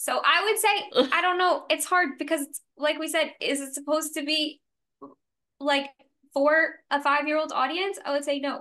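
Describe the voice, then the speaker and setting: With an American accent, a woman uses a raised, projected voice of high pitch, speaking at a moderate pace with ordinary pitch variation. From US South, New Orleans. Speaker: podcast co-host. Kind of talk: casual chat.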